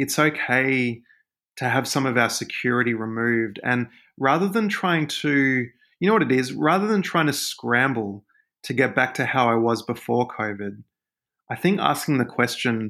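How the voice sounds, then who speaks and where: With an Australian accent, a man speaks at a moderate pace in a bright, sharp tone, his medium pitch showing ordinary variation, in a very clean recording with a silent background. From Australia, Sydney. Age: 30s. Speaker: author. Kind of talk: casual chat. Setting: podcast interview.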